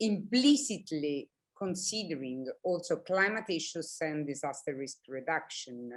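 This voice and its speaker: A woman speaks at a fairly slow pace in an Italian accent. The recording is very clean, with a silent background. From Italy. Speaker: planning academic. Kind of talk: panel discussion.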